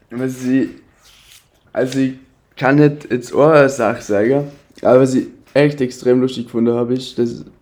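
In a dark, mellow tone, a man speaks at a medium pitch, fairly slowly and with fairly even intonation. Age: 20s. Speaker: design student. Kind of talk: casual chat.

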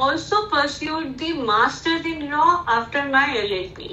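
A woman's raised, projected voice, high-pitched with an Indian accent, at a fairly slow pace amid audible room echo. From India, Indore (Madhya Pradesh). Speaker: corporate lawyer. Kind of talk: interview.

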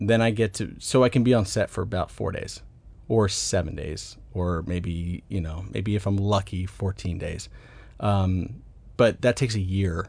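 A man with an American accent talks at a moderate pace, his fairly low voice somewhat breathy. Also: ordinary pitch variation. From US South, Atlanta, Georgia. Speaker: film writer and director. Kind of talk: interview conversation.

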